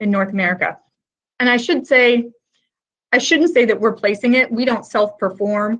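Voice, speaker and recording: A woman's fairly high voice with ordinary pitch variation, an unremarkable speaking voice. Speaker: technical sales manager presenting a webinar. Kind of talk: webinar presentation. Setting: online webinar.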